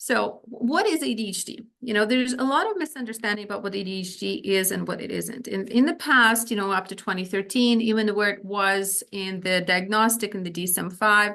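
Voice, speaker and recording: A woman's medium-pitched voice at a fairly quick pace, with ordinary pitch variation and hardly any pauses. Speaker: psychiatrist or physician presenting on ADHD. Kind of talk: lecture. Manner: fast.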